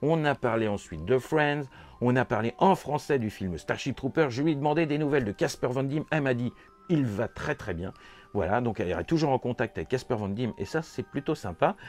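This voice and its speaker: With music in the background, a man of medium pitch uses lively intonation at a moderate pace with hardly any pauses, in a dry, close sound with no echo. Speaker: toy and horror film YouTuber. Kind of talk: casual vlog recap. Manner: chatty, many hesitations.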